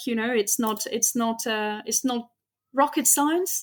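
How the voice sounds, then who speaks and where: On a very clean recording with a silent background, a woman with a slight French accent speaks at a moderate pace. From France. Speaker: astrophysicist. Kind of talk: interview.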